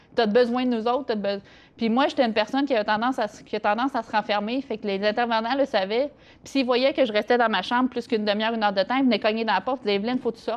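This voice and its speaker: This woman speaks very fast in a fairly high pitch. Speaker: interview guest sharing life story. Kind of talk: interview testimony. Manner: halting, many hesitations.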